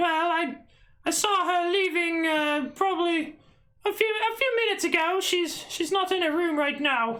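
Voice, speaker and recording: A squeaky, female-sounding put-on character voice at an extremely high pitch, moving at a moderate pace. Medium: actual play. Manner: huffing and hawing, stammering.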